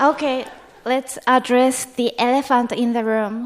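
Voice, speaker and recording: In a Japanese accent, a woman with a high pitch speaks at a very slow pace in a monotone, flat intonation over noticeable background noise. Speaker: comedian. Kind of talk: comedic debate speech.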